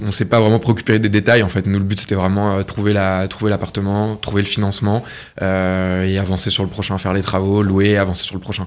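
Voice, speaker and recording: A man at a fairly low pitch, monotone and flat in intonation, at a moderate pace. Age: 20s. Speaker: real estate agent. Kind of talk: interview. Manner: halting.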